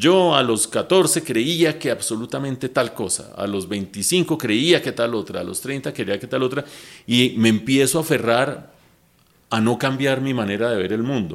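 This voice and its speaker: In a very clean recording with a silent background, a man with a normal speaking voice talks at a fairly slow pace, medium pitch and lively intonation. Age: 60s. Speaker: economist and TV news analyst. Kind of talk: casual interview chat.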